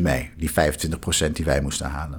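A man speaks in a somewhat breathy voice. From Netherlands, The Hague. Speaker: law lecturer. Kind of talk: scripted narration.

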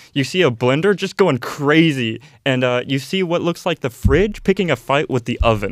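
This man has an ordinary speaking voice, pitched fairly high. His intonation is lively and he hardly pauses. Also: moderate pace. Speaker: tabletop game master. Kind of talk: casual chat and tabletop roleplaying session.

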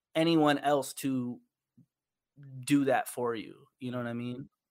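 A man with an American accent at a moderate pace. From New York. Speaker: visual artist and musician. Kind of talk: casual interview.

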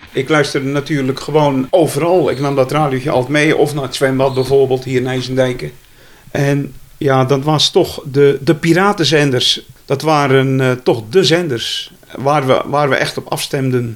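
A man with fairly high pitch and fairly even intonation speaks at a moderate pace in a normal speaking voice. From Zeeland, Zeelandic Flanders (IJzendijke). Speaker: retired journalist and photographer. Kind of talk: interview.

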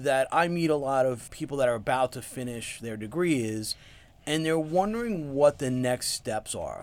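At a moderate pace, a man with an American accent speaks in a normal speaking voice with ordinary pitch variation. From New York, Long Island. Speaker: podcast host and UX researcher. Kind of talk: interview; scripted intro and outro.

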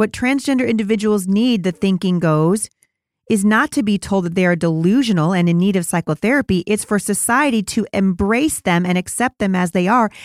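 A woman's medium-pitched, passionate voice, fairly quick and lively in intonation, on a very clean recording with a silent background and a dry, close sound with no echo. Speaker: podcast host. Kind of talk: angry rant. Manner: indignant, fired up, urgent; passionate, pleading, preachy.

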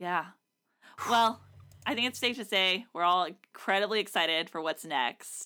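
On a very clean recording with a silent background, a woman with a medium pitch and a bright, sharp tone speaks at a moderate pace with lively intonation and long, frequent pauses. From Nashville, Tennessee. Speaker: podcast host. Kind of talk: casual podcast chat.

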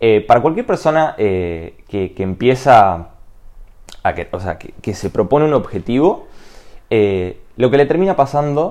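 Lively intonation from a man at a medium pitch. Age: 20s. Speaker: personal development podcaster. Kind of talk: motivational monologue. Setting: enclosed balcony at home. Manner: halting, many fillers and repetitions.

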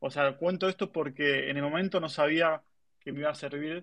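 Against a quiet background, a man with a normal speaking voice talks at a fairly high pitch for a man, his intonation fairly even. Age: 30s. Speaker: tech marketing professional. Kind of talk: interview. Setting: online audio room.

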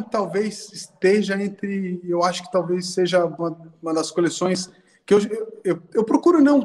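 A man talks with a high pitch and ordinary pitch variation. His pace is fairly slow. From Brazil. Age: 30s. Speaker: sneaker collector and designer. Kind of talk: casual chat. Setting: video call.

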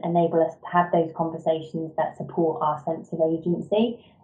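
A woman's fairly low voice with an English accent. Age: 30s. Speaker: education leader, former deputy head teacher. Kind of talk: interview.

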